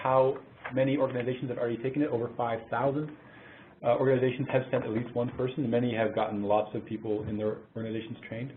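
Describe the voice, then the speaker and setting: A man with a Canadian accent, talking at a very fast pace. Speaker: mental health program manager. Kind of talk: webinar presentation. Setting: webinar call.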